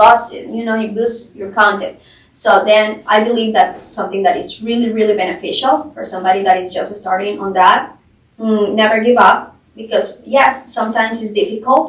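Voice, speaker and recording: Speaking in a Colombian accent, a woman with a fairly high voice uses lively intonation at a moderate pace. Her loudness swings widely. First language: Spanish. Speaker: real estate agent. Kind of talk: podcast interview.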